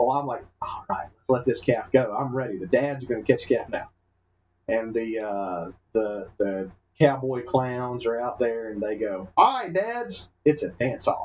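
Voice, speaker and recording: Speaking with a Southern US accent, a man keeps a moderate pace. His medium-pitched voice shows ordinary pitch variation. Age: 30s. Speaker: podcast co-host. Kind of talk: casual chat. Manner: animated.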